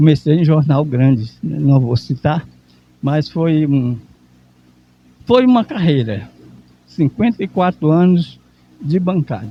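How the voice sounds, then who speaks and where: A man with a fairly high, somewhat breathy voice talks at a fairly slow pace with lively intonation. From Brazil, Maranhão. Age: 70s. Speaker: veteran journalist and cooperative founder. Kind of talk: interview. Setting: event venue at a symposium.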